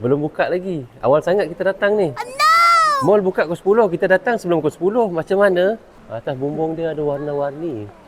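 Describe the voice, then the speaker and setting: Over noticeable background noise, a man with a high pitch speaks with hardly any pauses. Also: lively intonation, moderate pace. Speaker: travel vlogger. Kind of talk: casual vlog narration.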